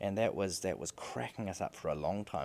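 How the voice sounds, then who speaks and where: The speaker has a New Zealand accent and talks at a moderate pace. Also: man. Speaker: podcast host, father. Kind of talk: casual monologue. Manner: repetitive, halting restarts.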